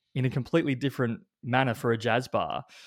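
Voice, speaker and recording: A man with an Australian accent speaks at a medium pitch. The recording is very clean, with a silent background. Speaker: brain coach. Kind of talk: casual chat.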